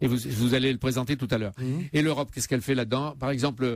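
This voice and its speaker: His pitch varies in an ordinary way. The man's delivery comes at a very fast pace. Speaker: radio interviewer. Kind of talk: radio interview questions.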